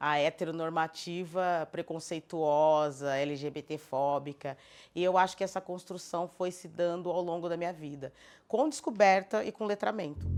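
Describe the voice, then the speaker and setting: A woman with a plain, everyday voice speaks at a moderate pace with a fairly low pitch. Her pitch varies in an ordinary way, and the recording is very clean with a silent background. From southern Brazil, Florianópolis. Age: 50s. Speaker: cultural producer. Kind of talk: documentary interview.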